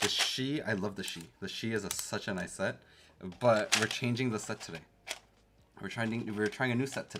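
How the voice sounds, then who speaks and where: With a Canadian accent, a man talks at a moderate pace, leaving long, frequent pauses. His pitch is fairly low with ordinary variation, and noticeable background noise can be heard. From Canada. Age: 30s. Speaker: keyboard streamer. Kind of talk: casual livestream chat. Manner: animated.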